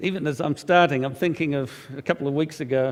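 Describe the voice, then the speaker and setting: At a moderate pace, a man with an Australian accent speaks in a fairly high pitch. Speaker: preacher and magazine editor. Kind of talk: sermon. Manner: halting, many fillers.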